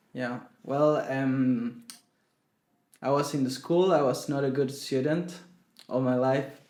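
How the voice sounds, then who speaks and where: At a very slow pace, a man speaks with a dark, mellow tone at a medium pitch, with audible room echo. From Chile. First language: Spanish. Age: 20s. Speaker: singer-songwriter. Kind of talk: interview. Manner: halting.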